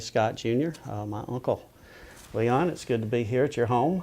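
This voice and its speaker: Speaking with a Southern US accent, a man's voice sits at a medium pitch. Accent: Southern US (Georgia). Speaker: family oral history interviewer. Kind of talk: oral history interview. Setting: at interviewee's home.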